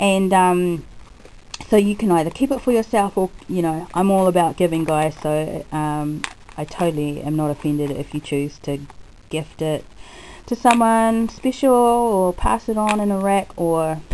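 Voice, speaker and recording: A woman talks at a moderate pace in an unremarkable speaking voice. Her pitch sits fairly low, and her intonation is lively. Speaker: crafter and video blogger. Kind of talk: casual chat. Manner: chatty, with frequent ums.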